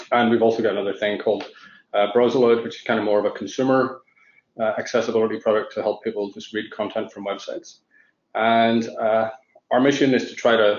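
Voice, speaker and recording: This man talks at a fairly quick pace. His pitch is medium and his intonation fairly even. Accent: Irish. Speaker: tech company founder, panelist. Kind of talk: panel discussion.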